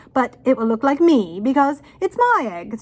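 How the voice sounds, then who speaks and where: At a moderate pace, a woman talks in a high-pitched, put-on character voice. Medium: read story. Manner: haughty, scornful.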